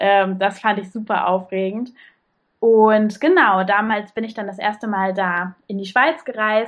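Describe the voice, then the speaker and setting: This woman has a plain, everyday voice with fairly high pitch. She talks at a fairly slow pace. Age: 20s. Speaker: sewing blogger. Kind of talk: podcast interview.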